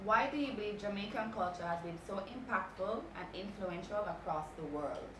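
At a moderate pace with hardly any pauses, the speaker uses ordinary pitch variation against noticeable background noise. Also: woman. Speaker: interviewer, radio host. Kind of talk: interview questions. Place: home room.

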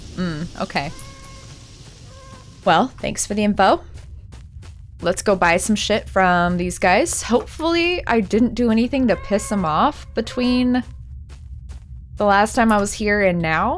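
A woman talks at a fairly slow pace with lively intonation and long, frequent pauses. Music plays behind her. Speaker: let's play gamer. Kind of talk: casual gameplay commentary. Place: home room.

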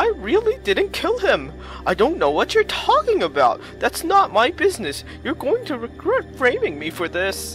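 Clear music plays in the background as the speaker goes at a moderate pace. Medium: game stream. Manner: evasive, wheedling.

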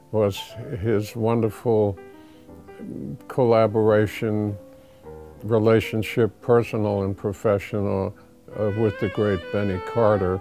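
Faint background music under a man's fairly low-pitched voice with fairly even intonation. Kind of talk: interview answer. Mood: warm, reminiscing. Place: office. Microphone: lapel.

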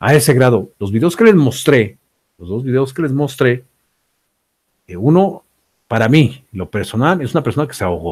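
A man speaks with lively intonation, a slightly mellow tone and a slightly husky edge.

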